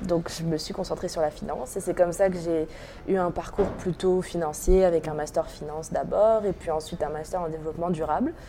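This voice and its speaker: A woman talks at a fairly quick pace in a fairly low voice. Her intonation stays fairly even. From France (Normandy). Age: 20s. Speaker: impact investment founder. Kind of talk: interview. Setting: coworking space with street protest outside.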